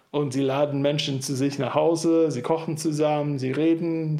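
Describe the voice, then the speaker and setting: Through audible room echo, a man speaks at a fairly high pitch with monotone, flat intonation. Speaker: church planter. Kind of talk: interview. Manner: talkative.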